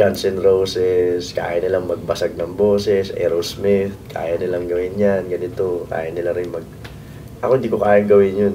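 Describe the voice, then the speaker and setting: Over noticeable background noise and audible room echo, a man with a very deep, low voice talks at a moderate pace in a monotone, flat intonation. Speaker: band singer. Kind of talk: interview. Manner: halting.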